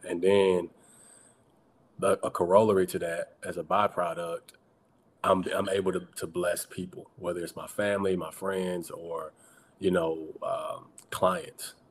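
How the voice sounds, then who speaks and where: With long, frequent pauses, a man talks at a fairly slow pace amid noticeable background noise. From US South, Atlanta Georgia. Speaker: attorney and activist. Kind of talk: casual chat.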